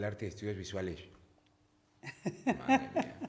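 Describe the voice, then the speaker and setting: A man talking at a moderate pace. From Spain, Cartagena (Murcia). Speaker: podcast host. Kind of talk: interview.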